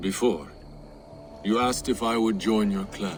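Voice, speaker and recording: Using a put-on character voice, a man with a fairly low pitch talks at a moderate pace amid clear background noise. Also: ordinary pitch variation. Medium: video game. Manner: grave, heavy.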